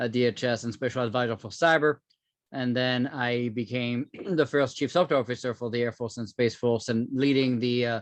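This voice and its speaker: Over a quiet background with a dry, close sound and no echo, a man with a French accent talks at a fairly quick pace in medium pitch with fairly even intonation. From France. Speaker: cybersecurity entrepreneur, former government official. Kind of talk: interview.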